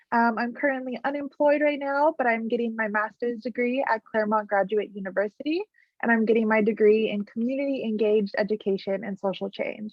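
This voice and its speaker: A woman with an American accent talks at a fairly quick pace with hardly any pauses, using a fairly high pitch and ordinary pitch variation. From California, Central Valley. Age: 20s. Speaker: graduate student podcast host. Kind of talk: podcast interview.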